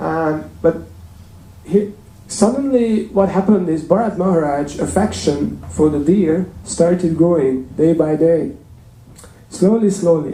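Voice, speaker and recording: With a Hungarian accent and a high pitch, a man speaks at a fairly slow pace amid audible room echo. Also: ordinary pitch variation. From Hungary. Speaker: temple speaker. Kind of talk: sermon. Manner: hesitant, many fillers.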